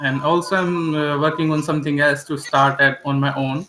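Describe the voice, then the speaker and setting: Over music in the background, a man talks at a fairly quick pace with a fairly high pitch and fairly even intonation. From India, Delhi. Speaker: English learner, government employee. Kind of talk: English practice conversation. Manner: halting.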